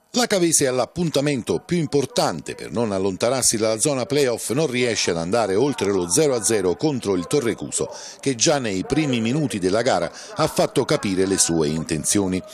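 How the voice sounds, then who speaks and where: A man speaks at a moderate pace in a medium pitch, his voice swinging very widely up and down over noticeable background noise. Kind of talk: sports commentary, recapping match highlights in a voiceover. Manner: brisk, formal and matter-of-fact, reporting play-by-play.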